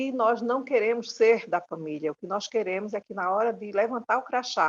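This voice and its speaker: A woman speaks at a moderate pace, her pitch fairly high with ordinary variation. The sound is dry and close, with no echo. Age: 60s. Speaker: domestic workers' union leader. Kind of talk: recorded course talk. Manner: halting.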